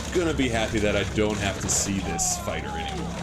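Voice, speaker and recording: Pitch swings very widely in this voice. Noticeable background noise runs underneath. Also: man. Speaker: sports commentator. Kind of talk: sports color commentary.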